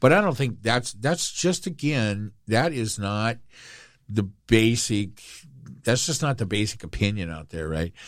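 On a very clean recording with a silent background, a man with an unremarkable speaking voice talks in a medium pitch with lively intonation. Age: 60s. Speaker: podcast co-host. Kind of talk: casual chat. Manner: jokey.

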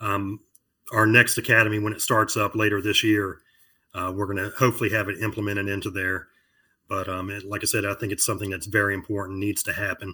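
On a very clean recording with a silent background, a man with an American accent talks at a very fast pace, his bright, sharp tone set at a fairly low pitch and his intonation monotone and flat. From Virginia Beach, Virginia. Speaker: firefighter captain. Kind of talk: casual interview.

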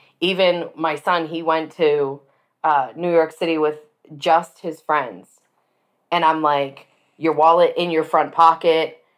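Speaking at a fairly slow pace with long, frequent pauses, a woman uses a very deep, low voice and monotone, flat intonation. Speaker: podcast host. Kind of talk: casual chat.

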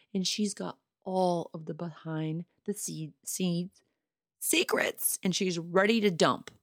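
A woman's warm, upbeat voice, fairly low in pitch, at a very slow pace, with a dry, close sound with no echo and a very clean recording against a silent background. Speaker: podcast host. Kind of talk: solo podcast monologue, casual. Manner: chatty, warm, upbeat.

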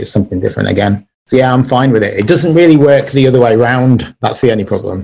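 A man with an English accent at a very fast pace. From England, Birmingham. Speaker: wedding and music photographer. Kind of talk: casual chat.

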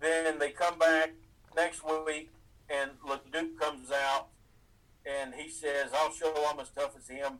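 A man's fairly high, monotone voice at a very slow pace, with big swings in loudness and long, frequent pauses. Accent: American. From East Tennessee, US. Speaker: wrestling fan and guest. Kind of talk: casual interview.

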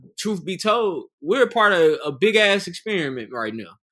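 A raised, projected voice at a moderate pace, bright and sharp in tone, with lively intonation. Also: man. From Charlotte, North Carolina. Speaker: podcast co-host. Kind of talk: casual chat.

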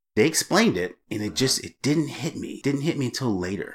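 In a very clean recording with a silent background, a man speaks at a moderate pace in a normal speaking voice with lively intonation. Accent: American. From Massachusetts, US. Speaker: adoptee. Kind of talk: interview.

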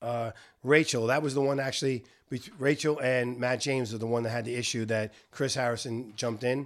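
On a very clean recording with a silent background, a man with a plain, everyday voice speaks fairly quickly at medium pitch with fairly even intonation. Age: 60s. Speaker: podcast host. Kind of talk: casual chat.

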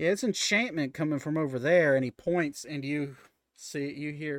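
A plain, everyday voice from a man, fairly high in pitch, at a moderate pace with ordinary pitch variation, and with a dry, close sound with no echo. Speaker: game master running a tabletop role-playing podcast. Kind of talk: casual tabletop roleplaying game session with narration. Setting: online stream with remote players. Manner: casual, chatty.

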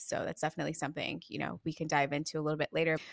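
A woman speaks with a very deep, low pitch and vocal fry. Her intonation is fairly even, and the sound is dry and close with no echo. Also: very clean recording, silent background. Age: 20s. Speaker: podcast co-host. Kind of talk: casual chat.

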